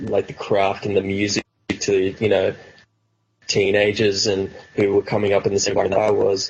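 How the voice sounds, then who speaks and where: A man with an Australian accent, a fairly low pitch, and monotone, flat intonation. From Australia, New South Wales. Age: 20s. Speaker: rapper. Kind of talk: interview. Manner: casual, filler-heavy.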